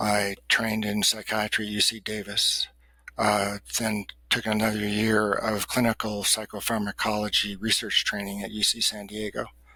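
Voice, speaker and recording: A man's fairly low voice, bright and sharp in tone, at a moderate pace with monotone, flat intonation. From US West, Los Angeles. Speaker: psychiatrist and researcher. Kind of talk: interview conversation. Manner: halting, many fillers and repeated starts.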